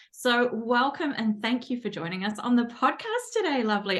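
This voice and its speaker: A woman with a New Zealand accent, high-pitched, at a moderate pace. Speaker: podcast host. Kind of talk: casual interview. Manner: animated.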